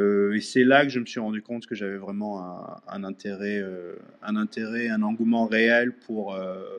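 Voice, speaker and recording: This is a plain, everyday voice. The pace is fairly slow. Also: man. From France. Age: 40s. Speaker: digital artist. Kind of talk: interview. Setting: live audio chat room, remote.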